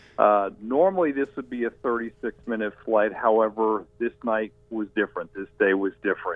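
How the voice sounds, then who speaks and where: Over music in the background, a man with an American accent talks at a moderate pace and medium pitch, with ordinary pitch variation. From Washington, D.C. area. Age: 50s. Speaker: historical researcher. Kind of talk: interview.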